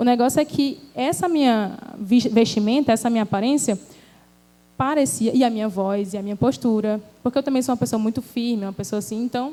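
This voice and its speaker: Here a woman has an unremarkable speaking voice with a fairly high pitch and ordinary pitch variation. Her pace is fairly quick. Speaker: speaker at a church women's event. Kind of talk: church talk, personal testimony.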